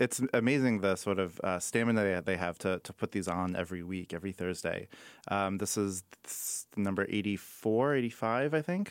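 With a normal speaking voice and an American accent, a man talks at a fairly quick pace, fairly low in pitch with ordinary pitch variation, in a very clean recording with a silent background and a dry, close sound with no echo. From Chicago. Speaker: author and workshop curator. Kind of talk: radio interview. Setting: studio.

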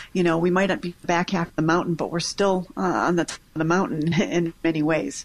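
At a fairly quick pace, this is a plain, everyday voice. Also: woman. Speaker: infectious disease physician. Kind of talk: radio call-in Q&A.

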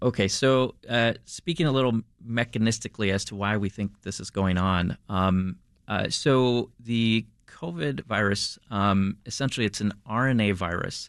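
Against a quiet background, a man with a fairly low pitch and ordinary pitch variation speaks at a moderate pace. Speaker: infectious disease physician researcher. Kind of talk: interview. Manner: frequent hesitations (um, uh).

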